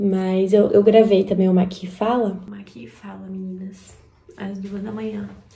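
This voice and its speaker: A woman's quiet, somewhat breathy voice, dark and mellow in tone, at a fairly slow pace with fairly even intonation, big swings in loudness and audible room echo. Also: medium pitch for a woman. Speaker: vlogger. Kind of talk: vlog. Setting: at home before dawn.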